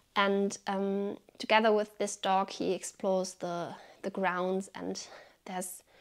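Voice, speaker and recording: A woman at a very slow pace, medium pitch and monotone, flat intonation against a quiet background. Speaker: book reviewer. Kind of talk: book review video with literary reading aloud. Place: home room.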